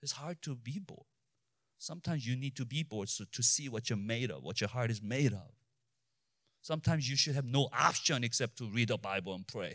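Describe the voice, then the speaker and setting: On a very clean recording with a silent background, a man with a non-native accent speaks at a medium pitch and a fairly quick pace, with ordinary pitch variation. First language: not English. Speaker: pastor. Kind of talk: sermon. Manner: halting.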